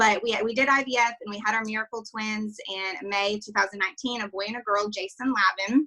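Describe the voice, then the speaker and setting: With a bright, sharp tone, a woman speaks at a fairly quick pace and fairly high pitch, hardly pausing, her loudness swinging widely while her intonation stays fairly even. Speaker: direct sales leader. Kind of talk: testimony.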